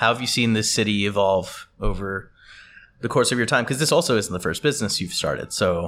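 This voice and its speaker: A normal speaking voice on a very clean recording with a silent background. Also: man. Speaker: podcast host. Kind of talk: interviewer, intro narration.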